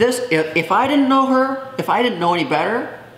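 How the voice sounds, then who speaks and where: A woman speaks at a fairly quick pace. There is audible room echo and noticeable background noise. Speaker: YouTuber. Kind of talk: casual chat. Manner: animated.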